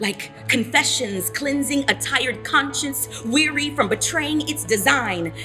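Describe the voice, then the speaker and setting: Music plays in the background as a woman speaks at a fairly slow pace with hardly any pauses. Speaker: spoken word poet. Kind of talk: spoken word poetry performance.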